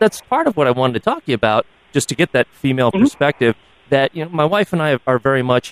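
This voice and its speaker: A man's lively intonation at a very fast pace, the sound dry and close with no echo. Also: fairly high pitch for a man. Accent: American. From United States. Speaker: podcast co-host. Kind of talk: interview.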